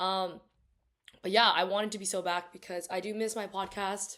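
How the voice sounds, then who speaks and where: This woman's voice sits at a medium pitch and stays monotone, with flat intonation. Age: 20s. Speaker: podcast host; college student. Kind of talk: casual chat. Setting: home recording. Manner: casual, filler-heavy.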